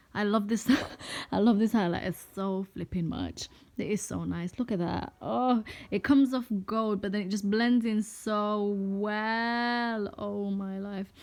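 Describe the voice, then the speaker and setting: A woman's medium-pitched voice with a non-native accent, fairly slow and fairly even in intonation, on a very clean recording with a silent background. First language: not English. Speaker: beauty vlogger. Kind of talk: makeup tutorial.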